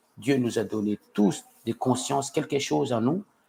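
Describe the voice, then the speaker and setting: This voice carries a non-native accent. The delivery is very slow. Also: man. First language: not French (speaking French). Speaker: citizen vlogger. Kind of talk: live stream monologue. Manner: halting, many hesitations and repetitions.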